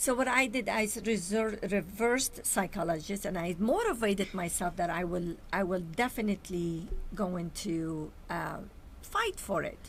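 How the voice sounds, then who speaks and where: Ordinary pitch variation at a moderate pace over noticeable background noise. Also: woman, medium pitch for a woman. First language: Arabic or Armenian. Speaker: show host and entrepreneur. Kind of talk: talk show interview.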